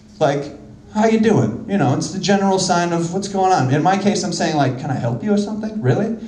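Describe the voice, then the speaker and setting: A man talks at a fairly quick pace with a high pitch and lively intonation. There is audible echo in the room. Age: 30s. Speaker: comedian. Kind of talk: stand-up. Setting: stage with audience. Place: stage. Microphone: handheld.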